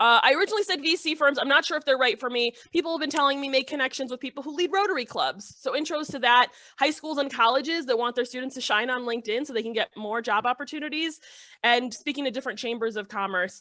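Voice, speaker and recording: Raising and projecting her high, bright, sharp voice, a woman talks at a very fast pace with ordinary pitch variation. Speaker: startup founder, social media consultant. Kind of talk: business pitch Q and A.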